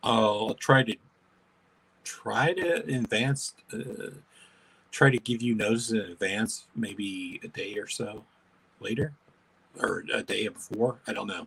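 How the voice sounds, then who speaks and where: Using a put-on character voice at medium pitch, a man mumbles at a fairly slow pace with long, frequent pauses. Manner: mumbling.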